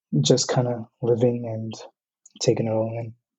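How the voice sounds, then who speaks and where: A man speaks at a fairly slow pace with a medium pitch in an American accent. His voice is somewhat breathy. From US West Coast, Southern California (Oxnard). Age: 20s. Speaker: university student, podcast guest. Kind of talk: casual interview conversation.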